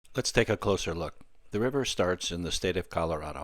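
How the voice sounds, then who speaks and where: At a fairly quick pace and with ordinary pitch variation, a man speaks in a very clean recording with a silent background. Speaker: flight simulator YouTuber. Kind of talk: narration over gameplay. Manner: casual, conversational.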